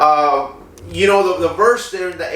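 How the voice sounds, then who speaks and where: A man with a Spanish accent talks at a moderate pace. Audible room echo and noticeable background noise surround his voice. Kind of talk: personal testimony. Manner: halting, many fillers.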